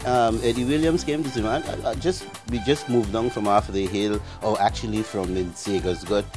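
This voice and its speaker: Music plays in the background. The voice moves at a fairly quick pace with very wide pitch swings. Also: man, fairly low pitch for a man. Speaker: radio news team member, former colleague. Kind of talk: interview answer recalling a past meeting. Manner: casual, conversational.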